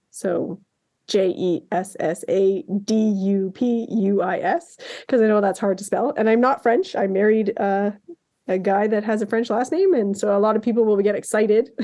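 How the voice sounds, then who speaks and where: A woman with a slight Canadian accent, a fairly high pitch, a dark, mellow tone, a moderate pace and very even loudness. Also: ordinary pitch variation. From Canada. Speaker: artist. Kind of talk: casual chat. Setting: podcast interview.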